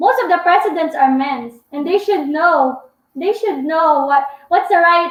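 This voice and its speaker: Loud and extremely high-pitched, a woman talks at a fairly slow pace with ordinary pitch variation. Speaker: vlogger. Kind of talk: live stream Q&A chat. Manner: talkative.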